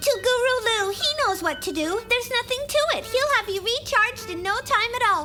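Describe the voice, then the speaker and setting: Over loud background noise, a female-sounding cartoonish character voice talks at a moderate pace with an extremely high pitch. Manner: lively, emotional.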